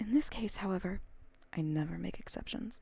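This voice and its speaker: A soft-spoken woman talks at a fairly quick pace. Her voice is somewhat breathy with a dark, mellow tone. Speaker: ASMR streamer and audiobook reader. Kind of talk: audiobook reading of classic fiction, ASMR stream.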